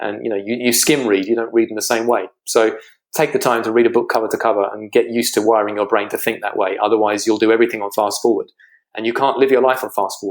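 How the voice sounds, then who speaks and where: Speaking very fast in a British accent, a man keeps a medium pitch and monotone, flat intonation, on a very clean recording with a silent background. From Britain. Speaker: financial strategist. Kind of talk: interview.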